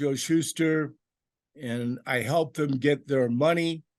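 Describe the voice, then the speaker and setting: A man with an American accent speaks in a plain, everyday voice at a fairly slow pace. His pitch is fairly high with ordinary variation, and the background is quiet. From Los Angeles. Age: 60s. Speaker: comic artist and self-publisher. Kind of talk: interview.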